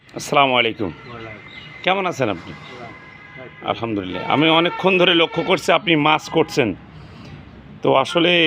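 A man speaks at a fairly high pitch with lively intonation. Noticeable background noise runs underneath. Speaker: video blogger interviewing a local elder. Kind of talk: street interview and address to viewers.

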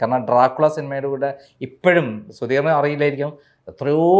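A man with an ordinary speaking voice talks at a fairly high pitch. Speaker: interviewer. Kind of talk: interview.

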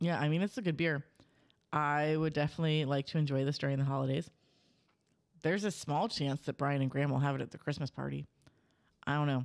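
Against a quiet background, a woman with an American accent talks at a very fast pace in a very deep, low pitch, her loudness very even. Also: fairly even intonation. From Cincinnati, US Midwest. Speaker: podcast host. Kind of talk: casual chat. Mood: relaxed, friendly. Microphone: studio mic.

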